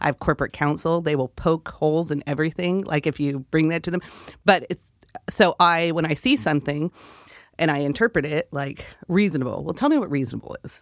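A woman with an American accent speaks at a very deep, low pitch with ordinary pitch variation. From California. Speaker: hotel general manager and city councilor. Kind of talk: interview. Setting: radio studio.

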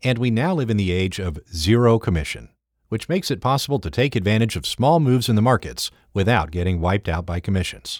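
A man with a plain, everyday voice speaks at a fairly low pitch and a fairly quick pace, using lively intonation. The recording is very clean and dry, with a silent background and a close sound with no echo. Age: 50s. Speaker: trader and trading educator. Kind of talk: scripted narration.

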